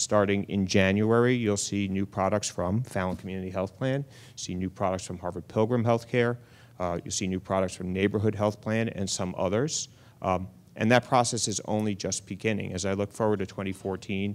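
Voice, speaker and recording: On a very clean recording with a silent background, a man with a slight New York accent speaks with fairly even intonation. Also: fairly low pitch for a man. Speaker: health insurance exchange official. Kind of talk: panel remarks.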